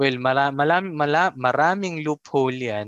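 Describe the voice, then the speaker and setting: A man's plain, everyday voice at medium pitch and moderate pace, dry and close with no echo. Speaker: podcast host. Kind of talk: casual chat.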